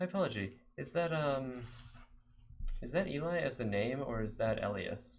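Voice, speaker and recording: This man speaks with an American accent. His intonation is lively. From Texas, San Antonio. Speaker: game developer streamer. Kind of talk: live coding stream chat. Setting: live stream. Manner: halting, many fillers.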